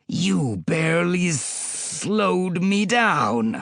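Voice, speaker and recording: In a put-on character voice, a man hisses at a very slow pace with a high pitch and a menacing tone. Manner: hissing, menacing.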